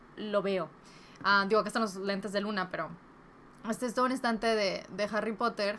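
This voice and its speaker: A woman with a bright, sharp tone speaks at a fairly quick pace but takes long, frequent pauses. Her intonation is fairly even, and light background noise can be heard. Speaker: book YouTuber. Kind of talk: casual vlog giving advice. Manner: Spanglish code-switching. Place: home room.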